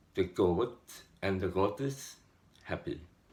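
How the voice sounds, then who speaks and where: A man speaks in a somewhat breathy voice. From Hong Kong. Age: 60s. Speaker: meditator. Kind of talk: casual spiritual talk to camera.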